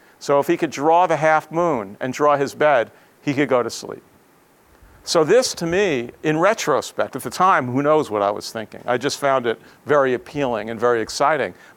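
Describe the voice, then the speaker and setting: A man with an American accent speaks in a normal speaking voice at a fairly high pitch. His pace is moderate and his intonation lively. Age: 60s. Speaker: professor. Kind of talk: lecture.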